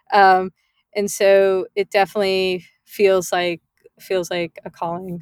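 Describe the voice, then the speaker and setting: A woman with an ordinary speaking voice talks at medium pitch with fairly even intonation, in a very clean recording with a silent background and a dry, close sound with no echo. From US suburbs, child of Indian immigrants. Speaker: tech entrepreneur. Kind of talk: interview conversation. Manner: many filler words.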